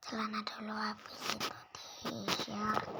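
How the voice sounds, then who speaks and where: A very slow whisper amid noticeable background noise. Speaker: gaming video creator. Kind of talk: casual gameplay commentary. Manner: whispering.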